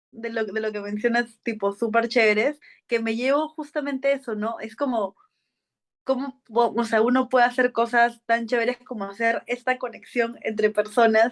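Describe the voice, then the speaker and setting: Against a quiet background, a woman speaks at a moderate pace in a fairly high voice with monotone, flat intonation. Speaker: podcast host. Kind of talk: casual interview chat.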